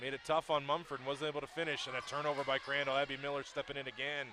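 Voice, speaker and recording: At a fairly quick pace, a man speaks with a fairly high voice and a bright, sharp tone. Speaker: play-by-play sports commentator. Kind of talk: live commentary.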